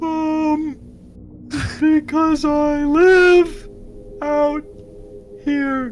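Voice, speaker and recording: A high-pitched, put-on character voice comes through with clear background noise behind it. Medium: actual play. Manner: blustering, shouty.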